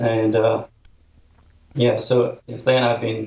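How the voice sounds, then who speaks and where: Somewhat breathy, a man's voice sits at medium pitch. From Nepal. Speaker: professor. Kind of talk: interview. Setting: video call.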